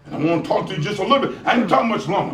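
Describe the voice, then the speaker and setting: Amid noticeable background noise and audible room echo, a man with an American accent speaks with very wide pitch swings. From US South, rural South Carolina. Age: 70s. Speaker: motivational speaker. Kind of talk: keynote speech. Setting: school graduation ceremony with audience. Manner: animated.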